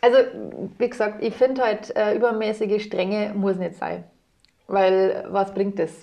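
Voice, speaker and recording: Fairly high-pitched woman at a fairly slow pace, fairly even intonation, long and frequent pauses. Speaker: voice actor. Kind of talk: podcast interview.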